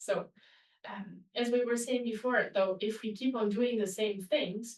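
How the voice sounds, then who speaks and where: A woman speaking at a moderate pace with fairly even intonation. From Italy. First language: Italian. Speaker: webinar presenter. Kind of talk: online webinar presentation. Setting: webinar.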